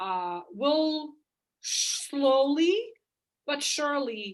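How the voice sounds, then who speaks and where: Speaking with a non-native accent, a woman moves her pitch through very wide swings. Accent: noticeable foreign. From outside the US, moved to US at fifteen. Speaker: chiropractor. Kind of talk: interview. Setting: call.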